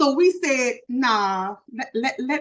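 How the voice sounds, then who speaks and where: Her voice is animated and high-pitched, and this woman's pitch swings very widely. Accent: Louisiana. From Louisiana. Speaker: social media influencer and podcaster. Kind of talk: interview. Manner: animated, preachy.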